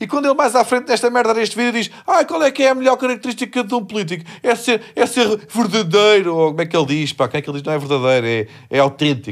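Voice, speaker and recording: A man talks at a very fast pace and a high pitch. His pitch swings very widely. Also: very clean recording, silent background. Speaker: comedian podcast host. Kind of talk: casual chat. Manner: animated.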